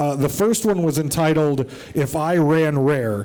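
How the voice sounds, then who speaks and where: Heard with audible room echo and noticeable background noise, a man with an American accent speaks at a fairly high pitch. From United States. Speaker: podcast host. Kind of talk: live show on stage. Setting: stage with audience. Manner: animated.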